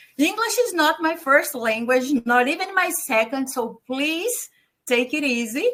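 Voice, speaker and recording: A woman talks at a fairly slow pace in a high pitch with a bright, sharp tone. Her voice is raised and projected, and her intonation is lively. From Brazil. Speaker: communication specialist and webinar co-host. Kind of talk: webinar hosting.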